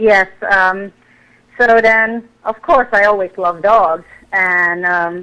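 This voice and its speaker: Bright and sharp in tone, a woman with a Hungarian accent speaks at a medium pitch and a very slow pace. Her intonation is fairly even, with long, frequent pauses. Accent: Hungarian accent, still noticeable. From Hungary. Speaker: fitness competitor, former sprinter. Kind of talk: radio interview.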